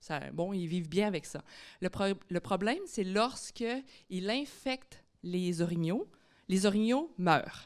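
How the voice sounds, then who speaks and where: A woman in a Quebec accent at a medium pitch, lively intonation and a very slow pace, on a very clean recording with a silent background. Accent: Québécois French. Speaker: biology professor. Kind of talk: public lecture.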